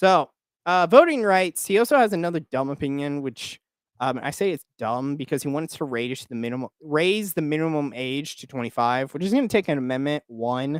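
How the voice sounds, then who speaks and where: With an American accent and an unremarkable speaking voice, a man at fairly high pitch swings widely in loudness, recorded very cleanly against a silent background with a dry, close sound and no echo. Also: lively intonation, moderate pace. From Oklahoma. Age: 20s. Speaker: political commentator, YouTuber. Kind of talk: live stream commentary. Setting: live stream. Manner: casual, filler-heavy.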